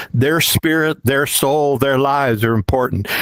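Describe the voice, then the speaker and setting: A man's voice, dry and close with no echo, against noticeable background noise. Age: 80s+. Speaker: licensed minister, VR community member. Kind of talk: personal testimony at community gathering. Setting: virtual reality event stage.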